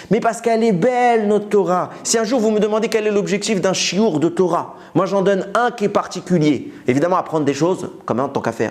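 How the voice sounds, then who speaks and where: A man's animated, high-pitched voice with lively intonation, very even loudness, hardly any pauses and a fairly quick pace. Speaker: Torah teacher. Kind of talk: religious lecture. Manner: fast.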